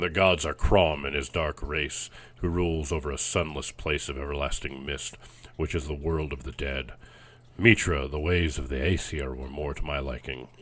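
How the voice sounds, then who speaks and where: A man puts on a gruff character voice at a very deep, low pitch. He keeps a moderate pace and fairly even intonation. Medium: read story. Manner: gruff, blunt.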